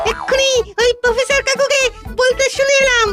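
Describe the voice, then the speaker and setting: In a cartoonish character voice, the speaker sounds squeaky and extremely high-pitched, keeping a monotone, flat intonation at a moderate pace over faint music in the background. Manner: chatty, gossipy.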